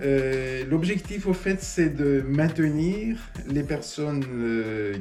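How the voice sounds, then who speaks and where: A man's fairly high-pitched voice with lively intonation, audible room echo and noticeable background noise. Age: 60s. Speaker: small business owner. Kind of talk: interview testimony. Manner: halting, many hesitations.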